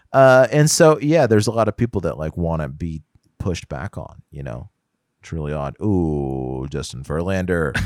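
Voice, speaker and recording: Recorded very cleanly against a silent background with a dry, close sound and no echo, a man with an American accent talks at a moderate pace in a very deep, low pitch, his voice making very wide pitch swings and big swings in loudness. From Houston, Texas. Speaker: podcast co-host. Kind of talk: casual chat.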